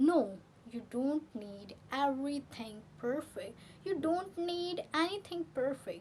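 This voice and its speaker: Her intonation is lively and her pitch high as this woman speaks. She talks at a very slow pace. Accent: Indian. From India, Delhi. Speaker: English teacher. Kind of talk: tutorial. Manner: repetitive, halting.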